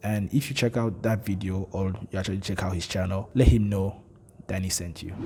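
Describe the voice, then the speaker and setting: At a fairly quick pace, a man speaks in a somewhat breathy, fairly low voice. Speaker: tech reviewer. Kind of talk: tech review monologue. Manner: slightly monotone.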